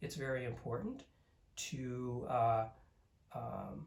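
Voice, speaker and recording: This man's voice is somewhat breathy. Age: 60s. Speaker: Zen teacher. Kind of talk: dharma talk. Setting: recorded at home. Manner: calm, measured.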